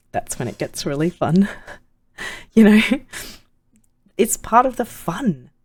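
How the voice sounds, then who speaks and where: A woman with a fairly high, vocal-fry voice speaks at a fairly slow pace, with very wide pitch swings, big swings in loudness and long, frequent pauses. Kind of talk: casual talk to camera.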